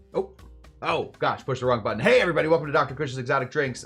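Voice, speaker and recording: Music in the background behind a man with an American accent, fairly high-pitched, talking at a very fast pace with ordinary pitch variation. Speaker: bartender and cocktail show host. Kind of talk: casual live-stream talk to chat. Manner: casual, chatty, a bit frazzled.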